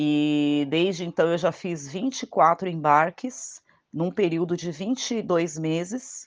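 Against a quiet background, a woman with a fairly low voice speaks very slowly with ordinary pitch variation. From Brazil, São Paulo (Diadema, ABC Paulista). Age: 40s. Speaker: traveller. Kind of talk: testimony. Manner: halting.

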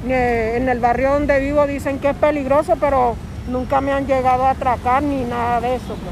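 Over noticeable background noise, a woman talks in a high pitch. Her intonation stays monotone and flat. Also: moderate pace. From Venezuela. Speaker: Venezuelan migrant interviewee. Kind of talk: street interview.

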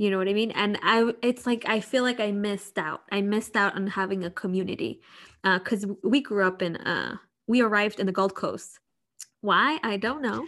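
Very clean recording, silent background, and an ordinary speaking voice at a moderate pace, with ordinary pitch variation. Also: woman, medium pitch for a woman. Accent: American. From Chicago. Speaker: podcast co-host. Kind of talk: casual chat.

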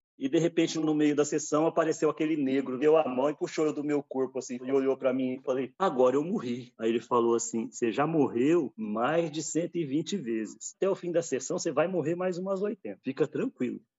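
Here a man uses a normal speaking voice with a fairly high pitch and ordinary pitch variation, moving at a moderate pace with hardly any pauses. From interior of São Paulo state, Brazil (São José do Rio Preto). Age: 50s. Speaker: ayahuasca ceremony leader and therapist, former pastor. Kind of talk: personal testimony interview.

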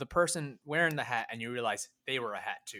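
A man with an American accent speaks at a fairly quick pace in a bright, sharp tone. The recording is very clean with a silent background. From Filipino American. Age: 20s. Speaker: podcast co-host. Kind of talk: casual chat.

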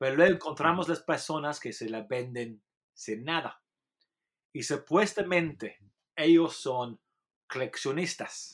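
In a very clean recording with a silent background, a man with an English accent speaks fairly slowly at a fairly high pitch, with long, frequent pauses, big swings in loudness and ordinary pitch variation. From England. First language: English (speaking Spanish). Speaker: journalist and author. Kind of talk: interview. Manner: halting.

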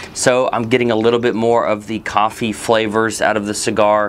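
A man talks at a moderate pace with medium pitch. Noticeable background noise runs under his voice. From Texas. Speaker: cigar reviewer, video host. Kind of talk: product review monologue.

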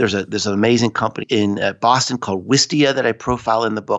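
At a fairly quick pace, a man with an unremarkable speaking voice speaks at a medium pitch. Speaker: author and social media strategist. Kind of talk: interview conversation.

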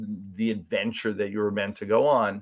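A plain, everyday voice from a man, fairly low in pitch, at a fairly slow pace with ordinary pitch variation. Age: 50s. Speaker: entrepreneur and business coach. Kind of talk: interview.

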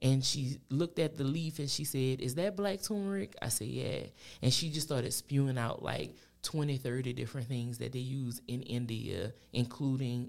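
With a south Louisiana accent, a woman speaks at a moderate pace in a very deep, low pitch with lively intonation. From Louisiana, New Iberia. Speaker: entrepreneur and small farmer. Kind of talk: casual interview.

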